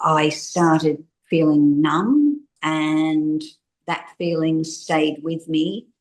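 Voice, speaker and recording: Delivered at a very slow pace in an Australian accent, the speech has fairly even intonation. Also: woman. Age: 60s. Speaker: interviewee sharing personal experience. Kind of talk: testimony.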